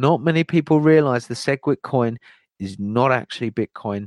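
At a moderate pace, a man uses an ordinary speaking voice with ordinary pitch variation against a quiet background. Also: dry, close sound with no echo. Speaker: crypto channel host. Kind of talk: live-streamed crypto commentary turning into a fiery, preachy rant. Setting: online livestream with chat.

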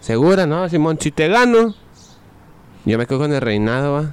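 Speaking fairly quickly, a man delivers his words in an animated tone. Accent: Mexican. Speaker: podcast co-host. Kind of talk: casual chat.

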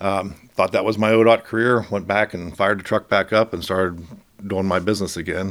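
Recorded very cleanly against a silent background, a man with an American accent and a fairly low pitch talks at a fairly quick pace with fairly even intonation. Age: 50s. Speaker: state transportation official, former truck driver. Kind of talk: interview. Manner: halting.

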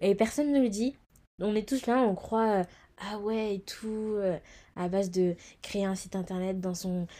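At a fairly slow pace, a woman of medium pitch speaks in a dark, mellow tone. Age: 20s. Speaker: podcast host. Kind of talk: casual solo monologue.

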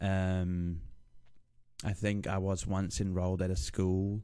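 Over a silent background on a very clean recording, a man with a New Zealand accent speaks in a monotone, flat way at a very deep, low pitch with a dark, mellow tone. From New Zealand (Lower Hutt, Wellington). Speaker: streamer. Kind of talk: casual interview. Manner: halting, many fillers.

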